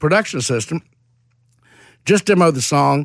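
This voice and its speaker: Fairly high for a man, his voice moves at a fairly quick pace with lively intonation and an animated tone. The recording is very clean, with a silent background. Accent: Mississippi. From Mississippi (Hattiesburg). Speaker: songwriter. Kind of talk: interview.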